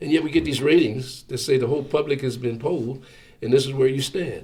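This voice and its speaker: Somewhat breathy, an American man with a fairly high pitch speaks at a fairly quick pace with ordinary pitch variation, and audible room echo surrounds him. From Philadelphia area, Pennsylvania. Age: 70s. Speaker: radio station general manager. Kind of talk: oral history interview. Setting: radio studio.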